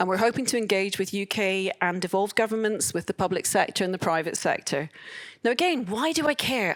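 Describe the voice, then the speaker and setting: A woman speaks in a Scottish accent with ordinary pitch variation. The recording is very clean, with a silent background. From Scotland. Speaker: open source advocate, conference speaker. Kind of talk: conference talk.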